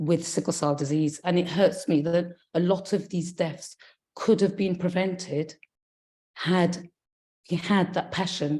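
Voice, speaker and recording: A woman speaks at a fairly slow pace in a fairly low, somewhat breathy voice with fairly even intonation. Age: 50s. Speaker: sickle cell patient and community advocate. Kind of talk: testimony.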